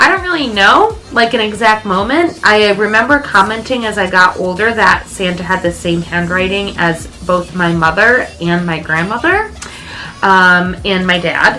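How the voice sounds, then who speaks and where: There is music in the background as a woman speaks at a moderate pace with a medium pitch and ordinary pitch variation. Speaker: vintage lifestyle vlogger. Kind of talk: casual chat.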